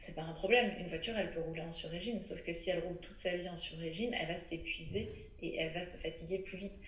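Over noticeable background noise and audible room echo, a woman talks very fast with hardly any pauses. Her fairly low voice keeps a fairly even intonation. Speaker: menstrual cycle educator and author. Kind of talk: interview. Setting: remote recording.

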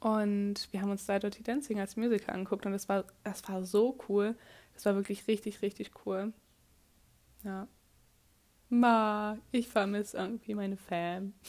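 Speaking at a fairly slow pace with long, frequent pauses, a woman uses a medium-pitched voice in a monotone, flat intonation. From Germany. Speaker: podcaster, au pair. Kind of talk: casual monologue.

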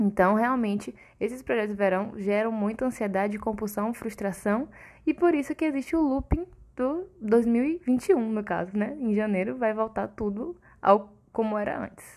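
Captured in a very clean recording with a silent background, a woman with a fairly high voice speaks at a moderate pace with lively intonation. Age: 20s. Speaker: nutritionist podcast host. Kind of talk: casual solo podcast talk. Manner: animated.

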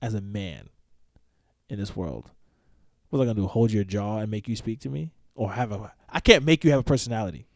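A man speaks with a New York accent and a fairly low pitch. His intonation is lively, broken by long, frequent pauses. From Poconos, Pennsylvania. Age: 20s. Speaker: army engineer. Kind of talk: casual chat.

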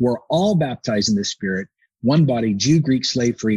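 This man talks at a fairly quick pace in a medium pitch. His voice is somewhat breathy, with ordinary pitch variation. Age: 40s. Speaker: pastor. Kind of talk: casual chat. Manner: animated.

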